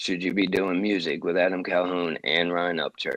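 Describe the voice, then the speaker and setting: A man with a Southern US accent, a very deep, low pitch and a fairly quick pace, in a dry, close recording with no echo. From US South. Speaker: podcast co-host. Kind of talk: heated debate. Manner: animated.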